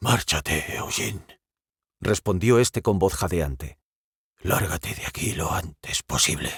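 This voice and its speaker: Putting on a character voice, a man sounds gruff and raspy at a very deep, low pitch, speaking fairly slowly with lively intonation. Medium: read story. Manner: gruff, commanding.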